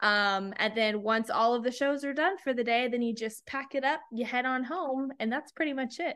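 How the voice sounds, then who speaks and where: A woman with an American accent speaks at a high pitch and a moderate pace, with ordinary pitch variation. She leaves hardly any pauses. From Texas, small town near San Antonio. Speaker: TV meteorologist. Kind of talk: casual chat.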